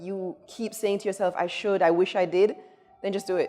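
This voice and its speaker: Music plays in the background as a woman with a medium pitch speaks at a fairly quick pace. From Jamaica. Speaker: chef. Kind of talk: interview.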